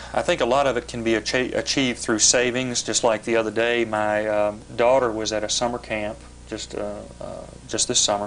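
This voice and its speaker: A man's flat, monotone delivery at medium pitch and a fairly quick pace, in a Kentucky accent. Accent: Kentucky Southern US. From western Kentucky. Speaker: politician. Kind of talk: TV interview. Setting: TV studio. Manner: hesitant with fillers.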